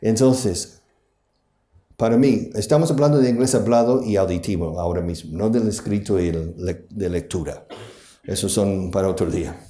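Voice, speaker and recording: In a strong non-native accent, the speaker uses a dark, mellow tone with lively intonation at a moderate pace, with audible room echo. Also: man, fairly low pitch for a man. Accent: strong English-speaking accent in Spanish. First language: English (speaking Spanish). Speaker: conference speaker, language school founder. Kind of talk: conference talk. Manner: animated.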